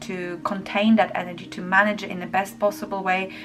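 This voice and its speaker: Noticeable background noise sits behind a woman with a medium pitch. She speaks at a moderate pace with fairly even intonation. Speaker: tarot reader. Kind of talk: tarot reading to camera.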